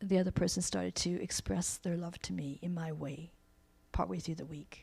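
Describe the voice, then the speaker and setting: A woman with a somewhat breathy, fairly low voice and a dark, mellow tone speaks at a moderate pace, pausing long and often. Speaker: workshop presenter and counselor. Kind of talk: workshop talk. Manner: conversational.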